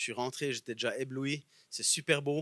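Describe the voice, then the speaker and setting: With a Bernese Jura accent, a man speaks in a fairly high pitch with a bright, sharp tone, in a dry, close sound with no echo on a very clean recording with a silent background. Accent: Bernese Jura Swiss French. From Bernese Jura, Switzerland. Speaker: guest preacher. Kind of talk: sermon.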